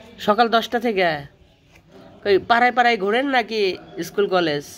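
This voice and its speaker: Noticeable background noise surrounds a delivery full of lively intonation. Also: man. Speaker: vlogger. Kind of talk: interview questions.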